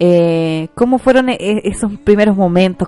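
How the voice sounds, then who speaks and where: Over music in the background, a woman with a Chilean accent talks at a moderate pace and medium pitch, with ordinary pitch variation. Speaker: radio host. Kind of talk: casual chat.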